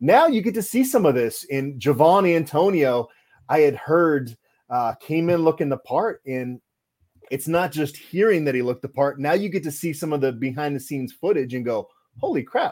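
Using a normal speaking voice, a man talks at a moderate pace with lively intonation and a fairly high pitch. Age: 40s. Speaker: sports reporter. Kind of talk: casual chat.

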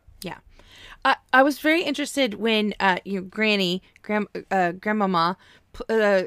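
In an ordinary speaking voice, a woman with an American accent talks at a moderate pace with fairly high pitch and lively intonation, in a very clean recording with a silent background and a dry, close sound with no echo. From Oklahoma. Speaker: podcast host. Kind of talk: casual chat.

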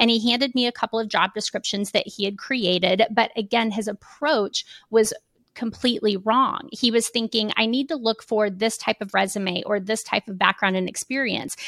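A woman with an American accent speaks in an unremarkable speaking voice, fairly high in pitch. Her pace is moderate, her intonation fairly even, and the sound dry and close with no echo. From Kansas City, Missouri. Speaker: keynote speaker and consultant. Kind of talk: podcast interview.

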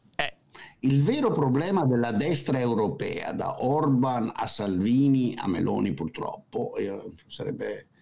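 Behind noticeable background noise, a man speaks at a very slow pace. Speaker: economist, political commentator. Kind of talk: casual chat.

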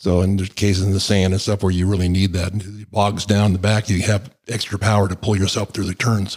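In an American accent, the speaker goes at a fairly quick pace with hardly any pauses and a monotone, flat intonation. The voice is somewhat breathy on a very clean recording with a silent background. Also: man, fairly low pitch for a man. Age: 70s. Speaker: e-bike hobbyist and customer. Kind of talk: casual interview chat. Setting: in-person studio.

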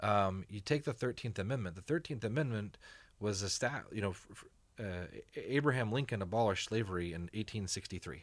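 With an American accent, a man speaks at a fairly low pitch with ordinary pitch variation and big swings in loudness, in a very clean recording with a silent background. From East Texas, Allen. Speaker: chef and nonprofit founder. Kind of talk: interview conversation. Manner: halting, many repeated words and fillers.

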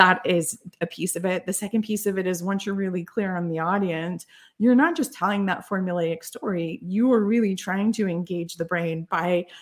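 A woman uses a plain, everyday voice at a medium pitch, with fairly even intonation and a moderate pace, on a very clean recording with a silent background. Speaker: storytelling consultant and author. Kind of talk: interview.

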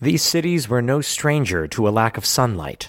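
This is a normal speaking voice with lively intonation. The pace is fairly slow. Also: man. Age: 30s. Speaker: podcast co-host. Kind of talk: casual chat; scripted narration.

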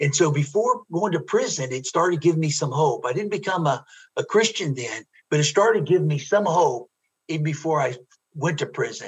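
A man with an American accent, fairly high pitch, lively intonation and a normal speaking voice. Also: fairly quick pace. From US Midwest, Ohio. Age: 60s.

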